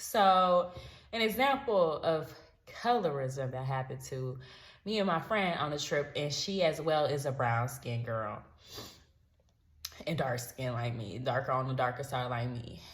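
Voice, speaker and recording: A woman in an American accent with very deep, low pitch, an animated tone, lively intonation, a somewhat breathy voice, a moderate pace, long, frequent pauses and audible room echo. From United States. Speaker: travel vlogger. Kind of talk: storytime vlog.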